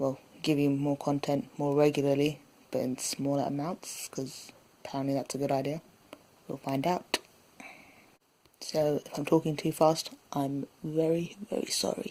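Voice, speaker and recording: A woman's very deep, low voice with a dark, mellow tone, ordinary pitch variation, a moderate pace and long, frequent pauses. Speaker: writer and writing-tips video host. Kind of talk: casual tutorial. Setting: home recording at night. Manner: hesitant, many fillers.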